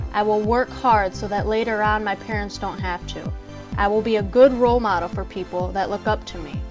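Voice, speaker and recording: A woman talks fairly quickly while music plays in the background. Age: 20s. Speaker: entrepreneur. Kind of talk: motivational podcast talk.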